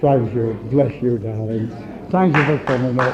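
Crowd noise fills the background. The speech goes at a moderate pace. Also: man. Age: 70s. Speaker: pastor. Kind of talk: sermon. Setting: church. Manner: animated.

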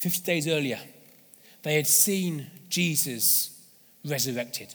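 A man with a London accent and ordinary pitch variation. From London, England. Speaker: evangelist and charity leader. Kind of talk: sermon. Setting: church service.

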